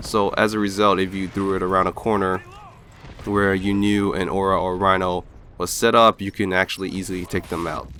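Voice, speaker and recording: Noticeable background noise sits behind a man with a fairly low pitch. He talks at a fairly quick pace in a monotone, flat intonation. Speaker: gaming commentator. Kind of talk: gameplay commentary voice-over. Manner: flat, lifeless.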